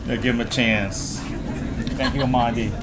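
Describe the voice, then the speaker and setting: A man speaks at a medium pitch amid audible room echo and noticeable background noise. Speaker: ceremony emcee. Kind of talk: ceremony speech.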